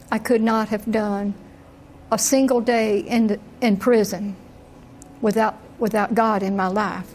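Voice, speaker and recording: A woman's fairly high, monotone and flat voice at a fairly slow pace, broken by long, frequent pauses. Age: 70s. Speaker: prisoner. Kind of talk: testimony.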